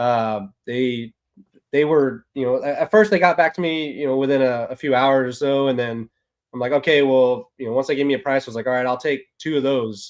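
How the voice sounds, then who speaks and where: A man with a Texan accent speaks at a fairly quick pace with ordinary pitch variation. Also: medium pitch for a man. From Texas. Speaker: ball python keeper, military service member. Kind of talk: casual chat.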